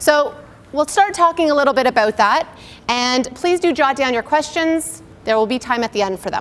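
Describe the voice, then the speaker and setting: A loud, high-pitched woman's voice at a moderate pace, with lively intonation. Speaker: naturopathic doctor. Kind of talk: lecture.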